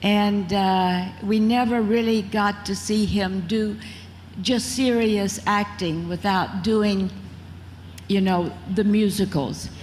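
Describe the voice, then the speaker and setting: Over audible room echo, a woman with an American accent speaks very slowly at a medium pitch, somewhat breathy, with fairly even intonation and very even loudness. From Mississippi, US South. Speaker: former beauty queen and actress. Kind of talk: interview on stage. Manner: talkative.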